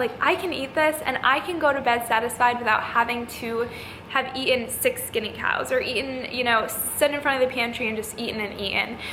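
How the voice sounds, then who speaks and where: A woman's high, raised, projected voice at a fairly quick pace with ordinary pitch variation, amid audible room echo and noticeable background noise. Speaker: fitness youtuber and coach. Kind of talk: casual vlog talk to camera.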